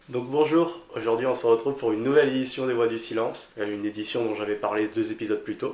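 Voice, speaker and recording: Speaking very fast with hardly any pauses, a man at a medium pitch keeps his intonation fairly even. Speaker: podcast host. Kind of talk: interviewer questions.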